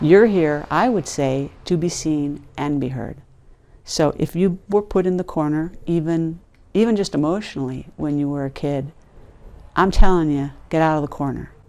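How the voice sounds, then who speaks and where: A woman speaks at a moderate pace in a very deep, low voice with a dark, mellow tone. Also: very clean recording, silent background. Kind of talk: casual talk to camera.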